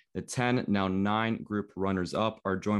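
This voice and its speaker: An unremarkable speaking voice with a Canadian accent comes through over a quiet background. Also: man. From Canada, Toronto. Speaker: podcast host. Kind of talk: casual chat.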